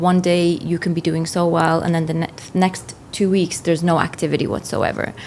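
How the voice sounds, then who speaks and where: Against noticeable background noise, a woman with a fairly low voice speaks at a fairly quick pace in a flat monotone, her loudness very even. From northern England (Newcastle coast), immigrant as a child. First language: not English. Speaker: finance professional, former real estate agent. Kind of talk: podcast interview.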